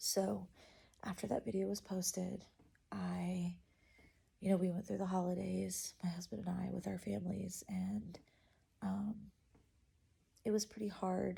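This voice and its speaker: A soft-spoken woman talks fairly slowly, with long pauses coming often. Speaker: vlogger. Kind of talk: casual chat. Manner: halting.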